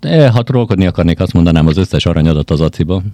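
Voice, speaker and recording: Dry and close with no echo, a man speaks very fast in a very deep, low voice with a dark, mellow tone and ordinary pitch variation. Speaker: podcast co-host. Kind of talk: casual chat.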